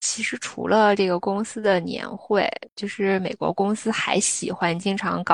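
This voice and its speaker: This woman has a normal speaking voice, medium in pitch, with fairly even intonation. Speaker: podcast co-host. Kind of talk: casual chat.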